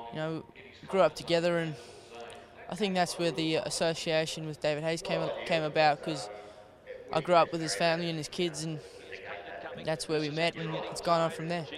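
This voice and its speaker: Over noticeable background noise, a man with a fairly high voice talks at a fairly quick pace, with fairly even intonation and long, frequent pauses. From South Africa. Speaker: apprentice jockey. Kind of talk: interview. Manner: halting, many fillers.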